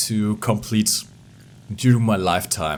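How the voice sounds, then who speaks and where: At moderate speed, the speech carries a non-native accent. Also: man. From Portugal. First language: Portuguese. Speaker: gaming YouTuber. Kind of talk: casual vlog. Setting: home recording at PC. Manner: halting, many repetitions; animated.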